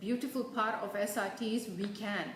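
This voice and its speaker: This woman has a fairly high voice and a non-native accent. Her recording carries audible room echo and noticeable background noise. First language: not English. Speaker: energy healer and meditation facilitator. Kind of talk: live stream talk. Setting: live video stream. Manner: halting, many fillers and restarts.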